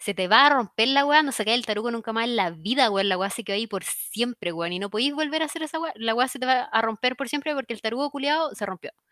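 A woman with a Chilean accent talks very fast with hardly any pauses, her fairly high pitch carried by lively intonation and a bright, sharp tone, in a dry, close sound with no echo. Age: 20s. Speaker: podcast co-host. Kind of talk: casual chat.

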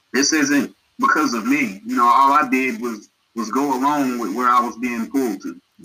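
In an American accent, a man with a plain, everyday voice talks at a moderate pace in a medium pitch with ordinary pitch variation. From Asheville, North Carolina. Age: 30s. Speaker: community organizer. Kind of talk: casual chat.

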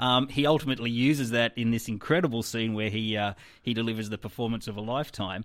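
This man speaks very fast in an Australian accent, at a medium pitch with fairly even intonation, on a very clean recording with a silent background. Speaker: film critic and festival organiser. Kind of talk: casual chat.

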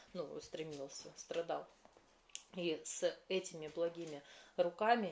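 Her pitch is fairly low, and this woman has a plain, everyday voice. She talks at a fairly slow pace with fairly even intonation. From Russia, Krasnoyarsk. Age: 30s. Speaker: podcast host, feng shui coach. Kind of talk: spontaneous monologue.

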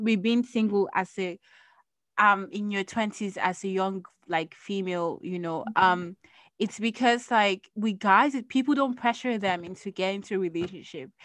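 Hers is an unremarkable speaking voice. The woman keeps a moderate tempo, and her pitch varies in an ordinary way. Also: medium pitch for a woman, quiet background. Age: 20s. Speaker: podcast host. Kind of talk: casual chat.

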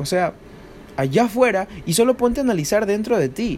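Lively intonation and an animated tone carry a man's moderate-paced speech over noticeable background noise. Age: 20s. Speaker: amateur trader and podcaster. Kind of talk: spontaneous motivational monologue.

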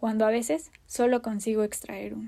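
Dark, mellow tone at a fairly slow pace in a very clean recording with a silent background. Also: woman. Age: 30s. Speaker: podcast host, new mother. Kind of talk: personal monologue.

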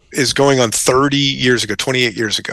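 An unremarkable speaking voice from a man with an American accent, medium pitch, moderate pace. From Colorado mountains (Central City). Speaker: radio host and business owner. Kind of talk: casual chat.

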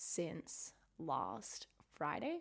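The voice has a bright, sharp tone and an Australian accent. The recording is very clean, with a silent background. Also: woman. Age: 20s. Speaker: podcast host, university student. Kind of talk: casual solo chat.

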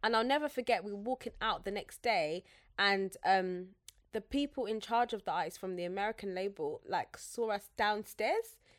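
On a very clean recording with a silent background, a woman with a London accent speaks at a moderate pace with fairly high pitch and ordinary pitch variation. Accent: British English (London). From Zambia. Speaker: podcaster and social media strategist. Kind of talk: casual chat.

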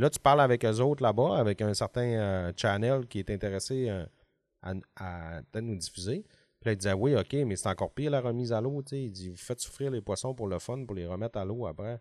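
In a Lac-Saint-Jean accent, the voice moves at a fairly quick pace with ordinary pitch variation, dry and close with no echo on a very clean recording with a silent background. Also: man, medium pitch for a man. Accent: Lac-Saint-Jean Quebec French. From Quebec, Lac-Saint-Jean (Alma). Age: 40s. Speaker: fishing TV show producer. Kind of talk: casual chat. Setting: office.

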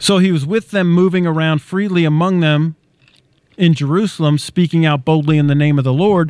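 A man with an unremarkable speaking voice talks at a fairly quick pace, his pitch fairly high and his intonation fairly even. Loudness stays very even in a dry, close sound with no echo. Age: 50s. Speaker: bible teacher and co-host. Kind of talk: bible teaching.

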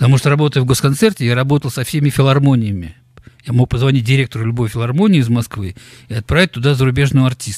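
A man talks at a very fast pace in a medium pitch. His voice is somewhat breathy, with ordinary pitch variation. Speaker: concert promoter. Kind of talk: interview.

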